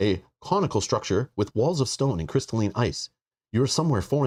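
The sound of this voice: An unforced reading voice over a quiet background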